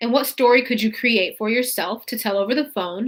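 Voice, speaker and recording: This woman has an unremarkable speaking voice, fairly high in pitch with fairly even intonation. The recording is very clean and the background silent. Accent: American. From California, Fresno. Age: 20s. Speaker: real estate wholesaling coach. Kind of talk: live stream tutorial. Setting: YouTube live stream.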